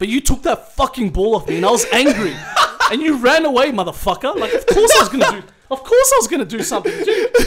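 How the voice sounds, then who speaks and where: Over noticeable background noise, a man talks at a very fast pace in an extremely high pitch with very wide pitch swings. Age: 30s. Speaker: bodybuilding podcast host. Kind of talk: casual chat. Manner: animated.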